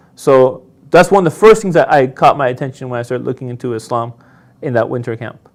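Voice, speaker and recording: A man with a slight Persian accent speaks very fast. His intonation is lively and his loudness swings widely. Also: medium pitch for a man. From Iran. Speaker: convert telling his story. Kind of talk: interview testimony.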